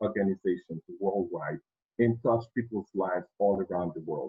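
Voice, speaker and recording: A man speaks with a Haitian accent. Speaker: project management speaker. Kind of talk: presentation.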